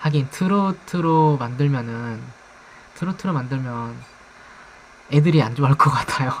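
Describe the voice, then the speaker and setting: Against noticeable background noise, a soft-spoken voice moves at a fairly slow pace with ordinary pitch variation and long, frequent pauses. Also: man, fairly high pitch for a man. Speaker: streamer. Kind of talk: live stream chat. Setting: live stream.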